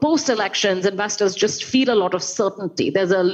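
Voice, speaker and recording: A woman with an Indian accent at a medium pitch, ordinary pitch variation and noticeable background noise. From India, Calcutta. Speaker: investment strategist. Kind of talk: panel discussion.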